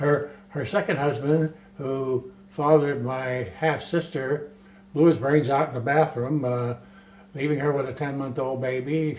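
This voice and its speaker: With an American accent and fairly even intonation, a man with a fairly high pitch talks at a moderate pace over noticeable background noise. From US South, Florida (West Palm Beach). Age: 80s+. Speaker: retired naval aviator. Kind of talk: interview. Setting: filmed documentary interview.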